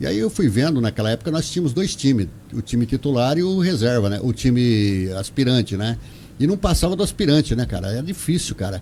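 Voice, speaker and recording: The voice is somewhat breathy, with very wide pitch swings. The pace is very fast. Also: man. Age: 60s. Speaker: retired utility worker, local figure. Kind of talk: radio interview.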